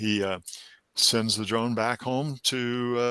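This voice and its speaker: A man's voice sits at a medium pitch with a bright, sharp tone. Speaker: college instructor in drone aviation. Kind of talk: conference talk Q&A. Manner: halting, many fillers and repeats.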